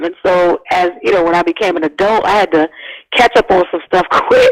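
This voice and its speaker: Speaking fairly quickly with an American accent, a woman uses a fairly high pitch in a dry, close recording with no echo but noticeable background noise. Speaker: singer-songwriter and activist. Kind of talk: interview conversation.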